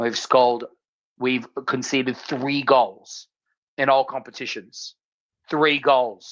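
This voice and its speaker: With an Australian accent, the speaker moves at a very slow pace broken by long, frequent pauses. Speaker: football podcast co-host. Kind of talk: casual chat. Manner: animated.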